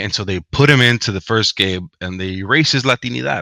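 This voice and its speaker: At a moderate pace, a man with a Spanish accent speaks in a fairly low pitch with a bright, sharp tone and a dry, close sound with no echo. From US, Mexican American family. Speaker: author and academic. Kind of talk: interview. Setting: livestream.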